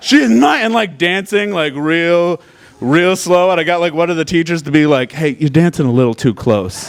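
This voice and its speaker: Amid noticeable background noise, a man with a high pitch and lively intonation speaks at a moderate pace. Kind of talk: live storytelling performance. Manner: casual, comedic.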